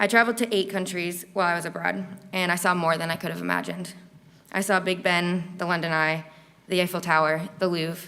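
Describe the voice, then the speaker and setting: A woman talks at a fairly quick pace and fairly low pitch, her tone bright and sharp, her intonation monotone and flat, with vocal fry. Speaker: university student. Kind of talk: speech. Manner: stuttering.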